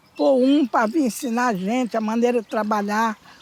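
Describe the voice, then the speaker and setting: High pitch from a woman, ordinary pitch variation, and noticeable background noise behind her. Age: 70s. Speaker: miner. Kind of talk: interview.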